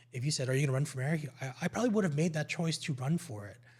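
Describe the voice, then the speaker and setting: A man with a Canadian accent speaks in a somewhat breathy, fairly high voice with lively intonation, on a very clean recording with a silent background. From Ontario, Canada (Markham). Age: 40s. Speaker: local politician. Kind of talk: podcast interview.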